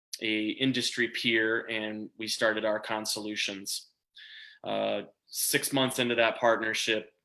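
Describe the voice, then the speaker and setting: A man with a Minnesota accent speaks at a fairly slow pace in a medium pitch, with a bright, sharp tone and monotone, flat intonation, in a very clean recording with a silent background. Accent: Minnesota accent, sounds Canadian-ish. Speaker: small business owner. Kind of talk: interview. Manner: halting, many fillers.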